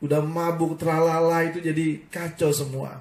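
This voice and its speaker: With audible room echo around him, a man speaks in a dark, mellow tone at a fairly high pitch. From Indonesia, Ambon (Maluku). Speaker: pastor. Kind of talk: sermon. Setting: online live broadcast.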